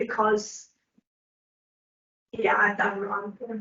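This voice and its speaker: A woman mumbles in a put-on character voice with fairly high pitch. Her intonation stays monotone and flat. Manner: mumbling.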